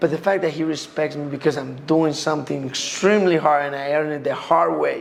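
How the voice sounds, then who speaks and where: Over noticeable background noise, a man speaks at a fairly quick pace with hardly any pauses, a fairly high pitch and fairly even intonation. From Colombia. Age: 20s. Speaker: MMA fighter. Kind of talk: interview. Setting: at home.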